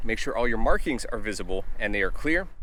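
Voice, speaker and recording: A man at a very fast pace. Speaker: fishing channel host. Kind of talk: tutorial. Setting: outdoors.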